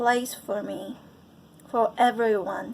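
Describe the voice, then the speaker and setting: A woman with a Japanese accent speaks at a fairly high pitch with fairly even intonation. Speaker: choir member. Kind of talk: testimony.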